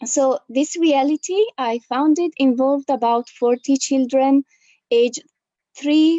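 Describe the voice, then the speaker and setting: A woman with an Italian accent, high in pitch, at a fairly slow pace, with ordinary pitch variation. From Italy. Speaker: educator. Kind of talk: panel discussion.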